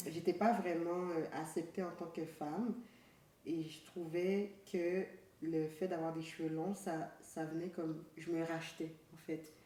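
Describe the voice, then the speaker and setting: Over noticeable background noise and audible room echo, a woman talks at a very slow pace with monotone, flat intonation. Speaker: podcast co-host. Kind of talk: casual chat.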